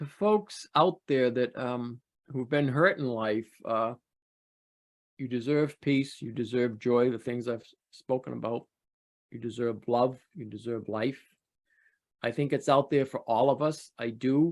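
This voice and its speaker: A man's unremarkable speaking voice, medium in pitch with ordinary pitch variation, at a fairly slow pace with big swings in loudness. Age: 60s. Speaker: sex abuse survivor telling his story. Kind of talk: interview testimony. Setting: video call.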